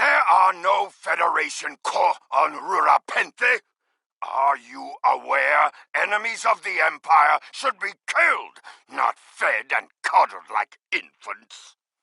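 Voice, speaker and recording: The speaker puts on a character voice at a fairly slow pace. The sound is dry and close, with no echo. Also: man. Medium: video game. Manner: proud, defiant.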